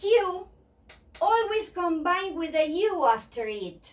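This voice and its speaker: With a Spanish accent, a woman speaks in very wide pitch swings. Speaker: Spanish teacher. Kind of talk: language lesson to camera.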